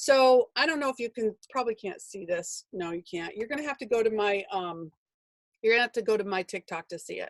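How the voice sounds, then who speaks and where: A woman at a fairly quick pace, fairly high in pitch, with lively intonation and a dry, close sound with no echo. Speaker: business coach and author. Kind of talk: webinar. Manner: fast; animated.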